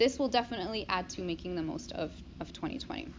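This woman talks at a moderate pace with a medium pitch and ordinary pitch variation. Vocal fry comes through in her voice. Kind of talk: informal talk with audience participation. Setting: room with small live audience.

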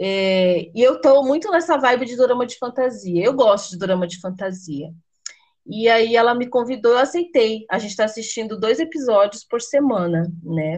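A woman in an unremarkable speaking voice talks at a moderate pace with fairly high pitch. Her intonation is lively, and her loudness swings widely. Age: 30s. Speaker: podcast host. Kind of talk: casual chat.

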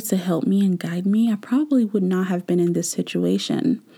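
A woman with a medium pitch and a dark, mellow, somewhat breathy tone is heard on a very clean recording with a silent background. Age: 20s. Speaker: podcast host. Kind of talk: solo podcast monologue. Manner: casual, frequent laughter.

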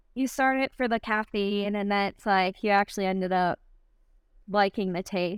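The woman speaks with a slight Michigan accent. Her intonation stays fairly even. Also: medium pitch for a woman, moderate pace. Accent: slight Michigan accent, nasal. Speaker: CrossFit athlete. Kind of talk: casual interview chat.

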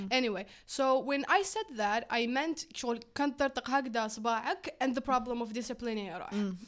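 A woman with an Algerian accent and a high pitch, at a moderate pace with hardly any pauses and ordinary pitch variation. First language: Algerian Arabic. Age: 20s. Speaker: physics student and startup co-founder. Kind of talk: casual chat.

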